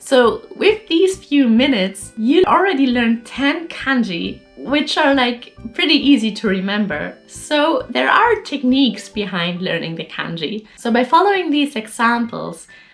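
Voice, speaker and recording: Against music in the background, a woman talks fairly slowly at a high pitch with very wide pitch swings. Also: hardly any pauses. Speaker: Japanese learner sharing study tips. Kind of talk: casual talk to camera, explainer.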